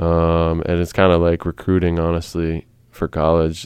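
A man with a very deep, low pitch, an American accent, monotone, flat intonation, and a fairly slow pace. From US, Maryland (Frederick County). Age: 20s. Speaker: professional basketball player. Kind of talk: casual interview. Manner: halting, many fillers.

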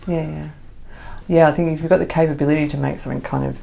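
Noticeable background noise fills the recording. A woman is the one talking. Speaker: podcast host. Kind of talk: casual interview chat.

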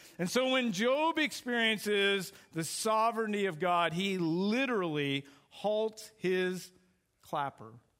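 Loud and high-pitched, a man speaks with lively intonation. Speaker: guest preacher, youth pastor. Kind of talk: sermon. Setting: church. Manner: fast, hyper.

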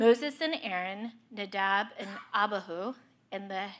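A woman has an unremarkable speaking voice, fairly high in pitch with ordinary pitch variation. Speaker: scripture reader. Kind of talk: reading aloud.

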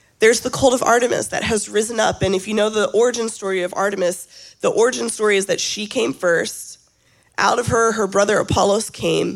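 With an American accent, a woman speaks at a fairly high pitch with vocal fry. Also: fairly even intonation, fairly quick pace. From US South. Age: 30s. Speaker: guest preacher. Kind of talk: sermon. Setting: church.

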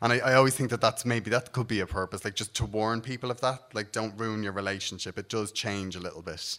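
A man's bright, sharp tone at a very fast pace, with fairly even intonation and hardly any pauses. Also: medium pitch for a man, very clean recording, silent background. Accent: Dublin. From Ireland, Dublin. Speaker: comedian. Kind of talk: stand-up.

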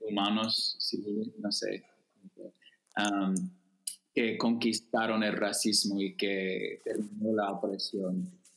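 This man has an American accent. He talks very slowly. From US Midwest, Chicago suburbs. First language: English (speaking Spanish). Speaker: writer, activist and theology student. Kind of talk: casual interview chat. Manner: slow, halting Spanish.

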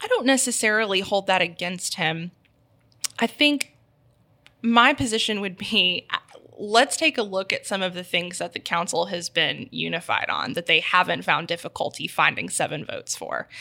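In an American accent, a woman with a medium pitch and a bright, sharp tone speaks at a moderate pace with lively intonation. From Texas (Houston) then Memphis from age nine. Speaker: city council candidate, community organizer. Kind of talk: interview.

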